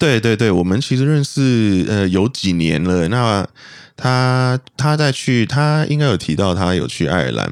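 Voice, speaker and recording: On a very clean recording with a silent background, a man with a plain, everyday voice speaks at a medium pitch and a fairly slow pace, his intonation lively. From Malaysia. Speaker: podcast guest. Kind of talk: casual chat.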